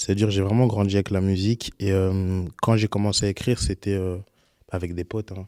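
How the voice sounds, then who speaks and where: A man talks at a fairly quick pace with a monotone, flat intonation. His fairly low voice has a dark, mellow tone in a dry, close sound with no echo. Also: very clean recording, silent background. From Belgium, Liège, Congolese family. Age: 20s. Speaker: RnB singer. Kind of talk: casual interview.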